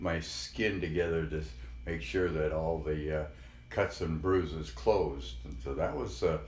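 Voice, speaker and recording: Vocal fry at a fairly slow pace, in an American accent, with audible room echo. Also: man, very deep, low pitch for a man, ordinary pitch variation. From Colorado, Denver. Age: 70s. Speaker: grandfather interviewee. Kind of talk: oral history interview. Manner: halting, many fillers.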